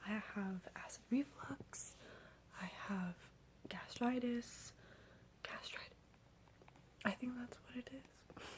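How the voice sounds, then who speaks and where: The woman whispers, very slowly. Long pauses come often. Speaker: ASMR creator. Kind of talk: ASMR storytime, talk to camera. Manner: soft-spoken.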